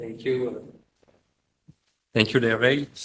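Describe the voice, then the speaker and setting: Bright and sharp in tone, a man speaks in a French accent with fairly even intonation. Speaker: panelist. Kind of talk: panel discussion. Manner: halting.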